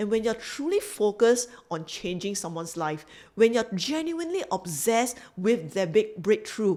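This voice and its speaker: With a Singaporean accent, a woman speaks at a fairly high pitch and moderate pace, her tone dark and mellow. Her pitch swings very widely. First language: not English. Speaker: business coach. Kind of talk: motivational talk to camera; sales pitch.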